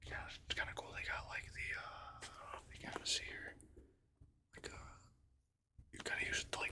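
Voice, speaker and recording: Whispering at a moderate pace, relaxed in tone. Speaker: ASMR content creator and hobby angler. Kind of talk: casual show-and-tell talk to camera. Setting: home recording with desktop microphone. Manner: relaxed, hesitant, filler-heavy, soft-spoken.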